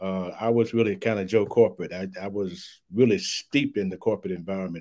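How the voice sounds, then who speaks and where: The recording is very clean, with a silent background. A man with a dark, mellow tone speaks in an American accent. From US South, Louisville, Kentucky. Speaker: diversity consultant. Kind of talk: interview.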